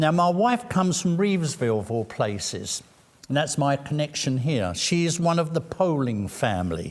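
With an English accent, a man speaks at a moderate pace in a fairly high voice that makes very wide pitch swings. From London, England. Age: 70s. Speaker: city council candidate. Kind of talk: interview. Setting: live-streamed candidate forum.

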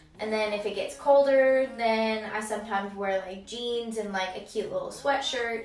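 Audible room echo and light background noise surround the voice. A woman speaks with fairly even intonation. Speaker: vlogger. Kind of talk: casual vlog chat. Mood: relaxed, chatty. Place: bathroom.

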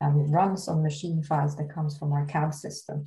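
A woman with a Swedish accent speaks at a fairly quick pace, somewhat breathy. Her tone is dark and mellow, her pitch very deep and low. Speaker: construction company R&D head. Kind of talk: presentation.

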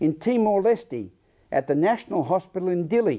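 A man speaks at a high pitch with very wide pitch swings and a dark, mellow tone over a quiet background. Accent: Australian. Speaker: news presenter. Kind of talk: news presenting; interview. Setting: studio.

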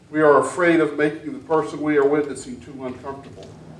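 Room echo can be heard. The man's intonation stays fairly even. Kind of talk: sermon. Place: church. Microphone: camera far.

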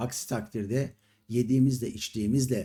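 Recorded very cleanly against a silent background, a man speaks in a somewhat breathy voice with a dark, mellow tone. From Istanbul, Turkey. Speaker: YouTube commentator, retired entertainer. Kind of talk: monologue commentary to camera. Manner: indignant.

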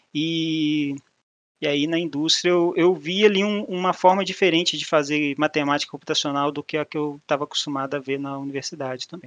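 A man with a Minas Gerais accent speaks at a fairly quick pace in a fairly high pitch, his intonation fairly even and his loudness swinging widely, with a dry, close sound, no echo and a quiet background. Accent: mineiro Brazilian Portuguese. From Minas Gerais, Brazil. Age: 30s. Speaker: mathematician and business analyst, speaker. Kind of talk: meetup talk. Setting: online meetup presentation with slides. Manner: casual, informal.

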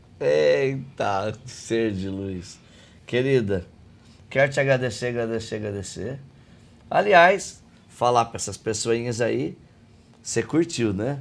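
Lively intonation and big swings in loudness mark this very slow delivery, which is broken by long, frequent pauses. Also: man, medium pitch for a man. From Brazil, outside São Paulo state. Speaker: podcast host and coaching trainer. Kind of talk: interview conversation. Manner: animated.

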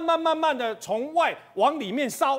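A man's voice with very wide pitch swings. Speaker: TV news panelist. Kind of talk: TV current affairs panel discussion. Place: studio.

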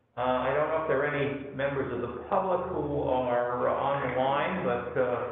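A man at a moderate pace, with strong room echo and light background noise. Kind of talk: chairing a formal meeting. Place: meeting room. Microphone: camera far.

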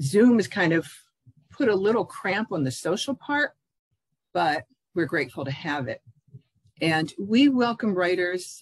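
The background is quiet and the sound is dry, with no echo. The pace is fairly slow. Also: woman. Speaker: interview guest. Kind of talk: interview answer. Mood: warm, proud. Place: home room. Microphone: video call.

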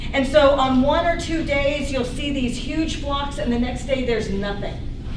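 A woman speaks at a moderate pace in a high voice with ordinary pitch variation. Noticeable background noise runs underneath. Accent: American. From US South. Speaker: ornithology professor. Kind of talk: lecture. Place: hall. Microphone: camera far.

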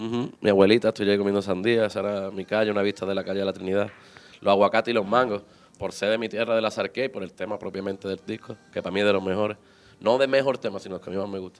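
His delivery is a very fast, flat monotone. The man's pitch sits fairly low. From Málaga, Andalusia, Spain; Andalusia, Spain. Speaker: reggae singer; guest. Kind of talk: casual interview. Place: studio. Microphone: handheld.

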